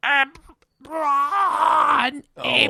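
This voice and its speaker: This put-on character voice sounds female and sits high in pitch. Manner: heckling, shouting.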